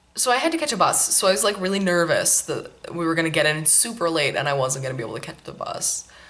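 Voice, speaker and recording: A woman talking at a fairly quick pace against noticeable background noise. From Maine, then California as a child. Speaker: knitting podcast host. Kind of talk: casual chat. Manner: relaxed, many fillers.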